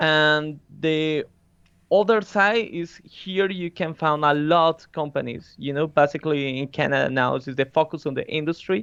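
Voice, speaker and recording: A man with a Spanish accent speaks at a moderate pace. His fairly high-pitched voice shows ordinary pitch variation. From Colombia. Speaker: concept artist. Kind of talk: interview.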